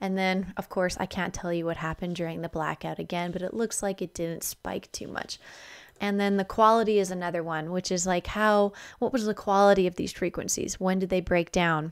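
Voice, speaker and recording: Over a quiet background, a woman talks at a fairly quick pace in a medium voice. Her intonation stays monotone and flat. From Alberta, Canada. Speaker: spiritual energy vlogger. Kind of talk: casual video monologue explaining charts. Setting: home video recording. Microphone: studio mic.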